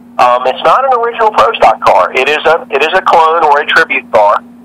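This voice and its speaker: Noticeable background noise sits under a man's high-pitched voice with an American accent. He goes at a moderate pace, and his pitch swings very widely. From Northern Virginia (Arlington, DC area). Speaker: drag racing driver. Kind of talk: interview.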